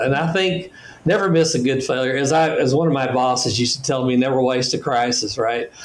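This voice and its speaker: Amid noticeable background noise, a man talks very fast at a medium pitch with ordinary pitch variation. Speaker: business executive and author. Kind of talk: podcast interview.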